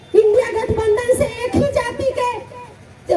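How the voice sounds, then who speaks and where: A woman speaks at an extremely high pitch with fairly even intonation while noticeable background noise runs underneath. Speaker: politician. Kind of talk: political rally speech.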